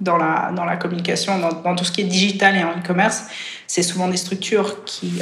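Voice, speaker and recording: Over noticeable background noise and audible room echo, a woman with a medium-pitched voice talks at a fairly quick pace. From Switzerland. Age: 30s. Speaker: triathlete. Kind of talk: casual chat.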